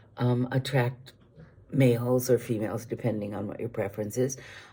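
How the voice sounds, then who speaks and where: Her voice is very deep and low, somewhat breathy with a dark, mellow tone, and the woman keeps a moderate pace. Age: 70s. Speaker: vlogger. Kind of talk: casual chat. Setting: video recorded on iPad. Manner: hesitant, many fillers.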